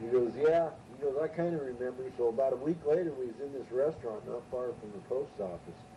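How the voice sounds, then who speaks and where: A man's medium-pitched voice with an American accent, fairly quick pace and ordinary pitch variation, over noticeable background noise. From California, Ventura. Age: 60s. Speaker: storyteller. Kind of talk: casual storytelling.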